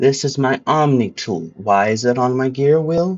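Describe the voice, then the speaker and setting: The speaker's intonation is lively and the pace is moderate. Music plays in the background. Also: man. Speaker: gaming video creator. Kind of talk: casual game guide walkthrough. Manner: casual, animated.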